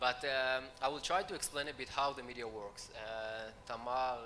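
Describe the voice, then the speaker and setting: Noticeable background noise runs under the recording. A man speaks at a medium pitch. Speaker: news agency head. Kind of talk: panel talk. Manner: halting.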